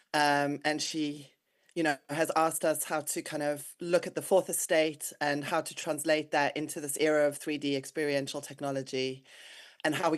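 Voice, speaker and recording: A woman speaks at a fairly quick pace in a very deep, low voice with flat, monotone intonation. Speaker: award presenter. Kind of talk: award presentation speech.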